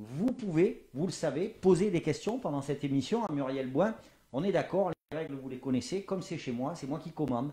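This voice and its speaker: Lively in intonation, a man speaks at a fairly high pitch with a dark, mellow tone. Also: moderate pace. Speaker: talk show host. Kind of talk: live talk show interview. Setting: home studio livestream. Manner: loud.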